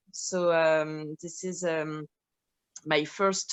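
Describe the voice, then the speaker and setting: In a French accent, a woman with a fairly low pitch speaks at a very slow pace in a monotone, flat intonation. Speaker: actress and filmmaker. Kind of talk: Q&A talkback. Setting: video call. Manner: halting.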